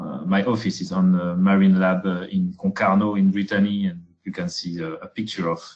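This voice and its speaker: With a French accent and a very deep, low voice, a man talks at a moderate pace with fairly even intonation and big swings in loudness. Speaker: researcher. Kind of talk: webinar presentation. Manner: halting, many fillers.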